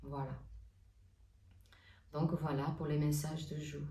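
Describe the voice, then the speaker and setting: This woman's speech is very slow. Her voice carries an audible room echo. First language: not French (speaking French). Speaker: oracle card reader and artist. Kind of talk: spiritual guidance talk. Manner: hesitant, many fillers.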